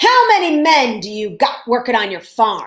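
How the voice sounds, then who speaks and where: Using a put-on character voice, a woman speaks at a high pitch and a moderate pace, with very wide pitch swings and big swings in loudness. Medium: read story. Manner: gruff and bossy.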